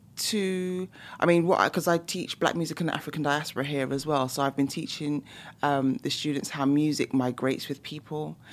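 A woman talks at a moderate pace with a London accent. Her pitch is very deep and low. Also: very clean recording, silent background. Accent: London British English. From London, England. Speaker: professor and musicologist. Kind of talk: casual interview. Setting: studio.

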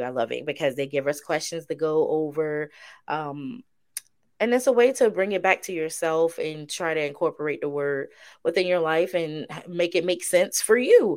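On a very clean recording with a silent background, a woman with a fairly low voice sounds animated, her intonation lively. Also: moderate pace. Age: 30s. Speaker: podcast co-host. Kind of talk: casual Bible study chat. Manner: animated, laughing often.

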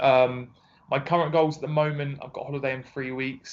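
Here a man speaks with an Essex accent. His pace is moderate. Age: 20s. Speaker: personal trainer. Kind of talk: casual interview.

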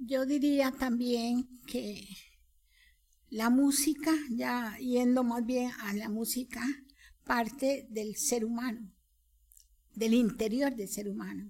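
Her voice is high-pitched, with a dark, mellow tone and fairly even intonation. The woman speaks at a very slow pace, with long, frequent pauses. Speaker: composer and soprano. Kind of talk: casual chat.

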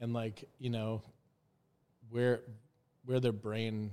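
Speaking at a fairly slow pace, a man talks with an Upper Midwest accent. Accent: Upper Midwest American. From Minnesota (Duluth). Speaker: guest. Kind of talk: casual chat.

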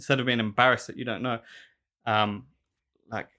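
On a very clean recording with a silent background, a man talks at a fairly quick pace in a bright, sharp tone. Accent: South London. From South London. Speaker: shoemaker and small business owner. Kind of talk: casual interview chat. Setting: studio.

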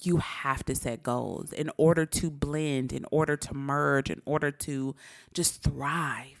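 On a very clean recording with a silent background, a woman speaks very slowly in a very deep, low voice. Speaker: podcast co-host. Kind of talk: casual chat. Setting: home recording at night. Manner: loud; excited.

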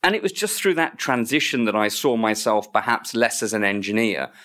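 A man's medium-pitched voice with an English accent and lively intonation at a fairly quick pace, on a very clean recording with a silent background. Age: 50s. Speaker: NHS estates director. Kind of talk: interview. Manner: repeats words, hesitant.

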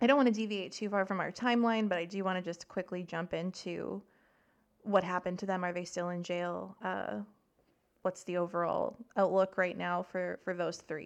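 A woman with a Canadian prairies accent, medium pitch, fairly even intonation and a moderate pace, against a quiet background. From Saskatchewan, Canada. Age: 30s. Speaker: podcast host. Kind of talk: casual chat.

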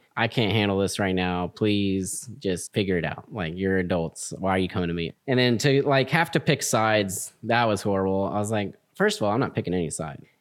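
A man with an American accent speaks in a normal speaking voice at a fairly low pitch, with hardly any pauses, on a very clean recording with a silent background. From Texas, Houston. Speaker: Air Force veteran and student. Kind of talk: casual chat.

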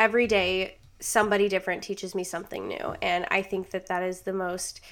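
With an American accent and vocal fry, a woman speaks fairly quickly at medium pitch with fairly even intonation, on a very clean recording with a silent background. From Rochester, New York. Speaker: student podcast host. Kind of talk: casual solo podcast monologue.

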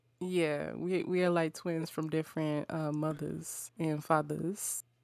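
A woman's very deep, low voice at a fairly slow pace with monotone, flat intonation. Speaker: voice actor. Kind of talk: casual chat. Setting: video call. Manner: loud.

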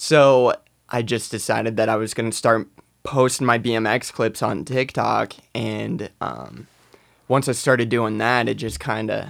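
The speech moves at a fairly slow pace with long, frequent pauses, vocal fry and ordinary pitch variation. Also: man. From South Dakota, Rapid City area. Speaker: BMX rider and social media creator. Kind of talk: casual chat. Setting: studio.

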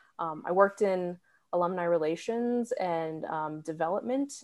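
A woman with an American accent speaks in an unremarkable speaking voice, fairly low in pitch, with ordinary pitch variation over a quiet background. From New Hampshire, US. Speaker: doctoral music student and conductor. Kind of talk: casual interview.

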